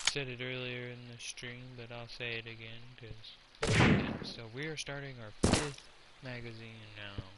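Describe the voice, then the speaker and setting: A quiet man at a fairly slow pace, flat and monotone, with big swings in loudness, noticeable background noise and audible room echo. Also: medium pitch for a man. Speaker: gaming streamer. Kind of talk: live stream commentary.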